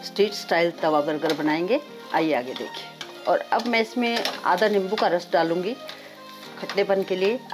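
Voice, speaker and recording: Lively intonation carries a fairly slow delivery, with faint music in the background. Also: woman. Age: 60s. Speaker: home cook; home cooking channel host. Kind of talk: cooking tutorial talk. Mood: warm, inviting. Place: kitchen.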